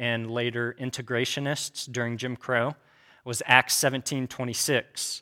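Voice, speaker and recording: A man speaks with a Midwestern American accent and a bright, sharp tone. The sound is dry and close, with no echo, in a very clean recording with a silent background. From Kansas. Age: 30s. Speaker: church teacher. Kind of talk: lecture. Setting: room with audience.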